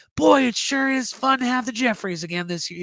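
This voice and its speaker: Using a put-on character voice, a man talks at a fairly quick pace. His pitch is extremely high and his intonation lively. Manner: cheerful, folksy.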